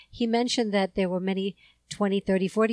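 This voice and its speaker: A woman's unremarkable speaking voice with ordinary pitch variation, in a very clean recording with a dry, close sound, no echo and a silent background. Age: 50s. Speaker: podcast host. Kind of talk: interview.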